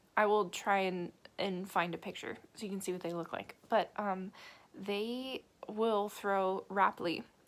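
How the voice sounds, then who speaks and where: Fairly slow and fairly even in intonation, a woman speaks with an American accent. Her pitch sits in the medium range. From United States. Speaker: travel vlogger. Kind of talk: casual vlog talk. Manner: hesitant, many fillers.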